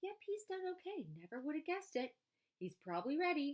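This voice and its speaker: A woman puts on a squeaky character voice at an extremely high pitch, talking at a fairly quick pace with very wide pitch swings. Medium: read story. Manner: blunt, hearty, casual.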